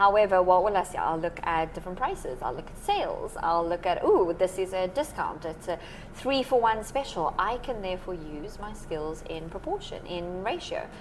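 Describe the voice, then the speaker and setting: A woman with a South African accent speaks at a medium pitch with lively intonation and an energetic, enthusiastic tone. She hardly pauses, and there is noticeable background noise. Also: moderate pace. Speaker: maths teacher. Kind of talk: podcast interview.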